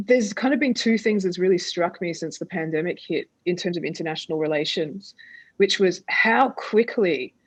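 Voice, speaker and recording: A woman speaks with an Australian accent at a moderate pace. Her pitch is medium, and the background is quiet. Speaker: theatre artist and dramaturg. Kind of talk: panel discussion.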